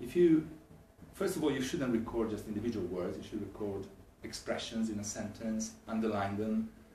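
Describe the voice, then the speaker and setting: With an Italian accent, a man speaks at a moderate pace and medium pitch, with ordinary pitch variation, against noticeable background noise. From Italy. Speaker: English language teacher. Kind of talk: talk to camera.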